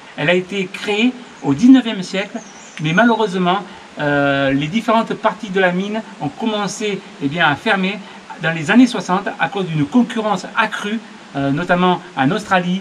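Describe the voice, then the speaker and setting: High-pitched man at a moderate pace, with ordinary pitch variation and light background noise. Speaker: hiking channel host. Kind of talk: casual vlog intro. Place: tunnel cave.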